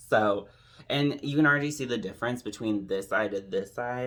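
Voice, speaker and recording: Soft-spoken and fairly low in pitch, a man talks at a fairly quick pace. His pitch variation is ordinary. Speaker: drag queen makeup tutorial creator. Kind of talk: tutorial. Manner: casual, filler-heavy.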